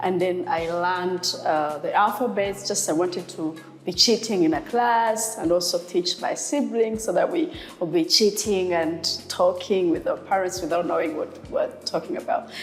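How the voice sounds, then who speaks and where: With a Rwandan accent, a woman speaks at a moderate pace and medium pitch with ordinary pitch variation, over noticeable background noise. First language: Kinyarwanda. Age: 30s. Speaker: sign language interpreter. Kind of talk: interview. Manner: hesitant with fillers.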